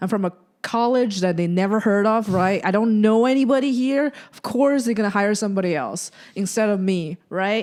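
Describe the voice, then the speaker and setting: A woman with a non-native accent speaks at a medium pitch and a moderate pace, with ordinary pitch variation and big swings in loudness. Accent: foreign. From China. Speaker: podcast host and comedian. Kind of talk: casual chat.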